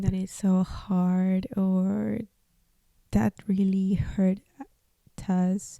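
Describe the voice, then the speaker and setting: A woman is speaking. She has a Spanish accent. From Peru. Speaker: podcast host, artist. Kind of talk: personal testimony podcast. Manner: halting; casual, many fillers.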